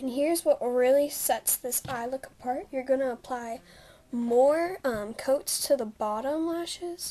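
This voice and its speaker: A woman's high voice with a dark, mellow tone, fairly slow in pace and ordinary in pitch variation. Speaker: beauty vlogger. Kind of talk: makeup tutorial talk to camera. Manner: casual, chatty.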